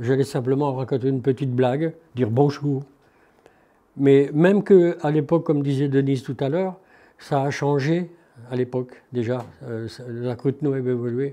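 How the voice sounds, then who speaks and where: A man with a dark, mellow tone and fairly high pitch talks at a moderate pace, leaving long, frequent pauses. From northeastern France, Haute-Marne. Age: 70s. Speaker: retired shoemaker. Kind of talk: interview testimony, personal reminiscence.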